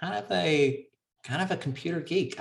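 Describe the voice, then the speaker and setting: Using a plain, everyday voice, a man with an American accent speaks at a moderate pace with lively intonation. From US South. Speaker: advertising creative director. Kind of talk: casual interview.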